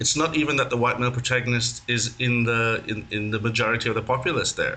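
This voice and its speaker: A man with a medium pitch and fairly even intonation talks at a fairly quick pace while noticeable background noise carries on behind him. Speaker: podcast host. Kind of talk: podcast interview questions.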